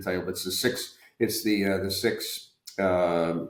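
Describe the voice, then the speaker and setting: Speaking at a moderate pace, a man has a fairly low pitch. His intonation stays fairly even. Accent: American. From US South. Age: 60s. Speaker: retired medical device executive. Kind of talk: podcast interview. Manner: halting, many fillers and repeats.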